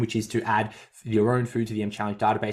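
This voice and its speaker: A speaker with an Australian accent is heard on a very clean recording with a silent background. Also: man. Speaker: fitness coach and podcast host. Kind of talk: casual podcast chat. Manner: fast.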